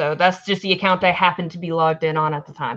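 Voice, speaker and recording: A woman speaks with an American accent. Her pace is fairly quick. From US South, Alabama. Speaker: podcast host, band manager. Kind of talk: casual chat.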